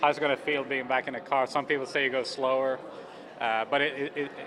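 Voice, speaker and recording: Noticeable background noise sits under speech that moves fairly quickly. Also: man. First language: not English. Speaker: racing driver. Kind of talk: press interview. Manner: halting.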